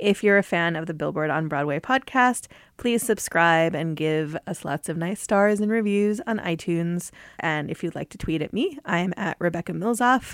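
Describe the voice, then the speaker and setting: In a very clean recording with a silent background and a dry, close sound with no echo, a woman with a normal speaking voice talks at a moderate pace, her fairly low pitch carrying lively intonation. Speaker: podcast host, music editor. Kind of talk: interview. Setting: studio.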